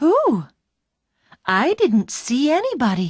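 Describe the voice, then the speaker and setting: At a fairly slow pace, the speaker performs a put-on character voice. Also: female-sounding voice. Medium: read story. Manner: warm, chatty.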